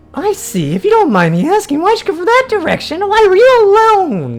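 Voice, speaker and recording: A squeaky, extremely high put-on character voice at a fairly quick pace, with faint music in the background. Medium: virtual streamer.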